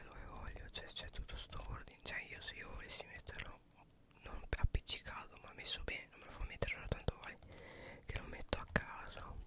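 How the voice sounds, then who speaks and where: A woman whispers at a fairly quick pace with big swings in loudness. She leaves long, frequent pauses. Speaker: ASMR gameplay creator. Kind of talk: ASMR gameplay whispering. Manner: whispered, soft-spoken. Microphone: studio mic.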